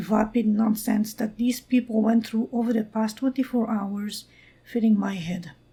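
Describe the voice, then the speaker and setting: A woman with a non-native accent, fairly high pitch, fairly even intonation and a moderate pace. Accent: non-native, noted. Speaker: amateur storyteller. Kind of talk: read original story.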